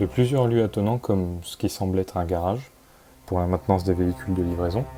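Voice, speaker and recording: With music in the background, a man talks at a fairly quick pace in a very deep, low voice. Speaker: urbex video narrator. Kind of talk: scripted narration. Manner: hesitant.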